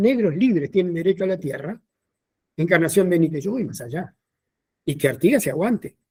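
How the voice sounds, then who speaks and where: Speaking fairly quickly with a Uruguayan accent, a man uses a high-pitched, dark, mellow voice and lively intonation. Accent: Rioplatense Spanish (Uruguayan). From Montevideo, Uruguay. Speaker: historian and teacher. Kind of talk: lecture.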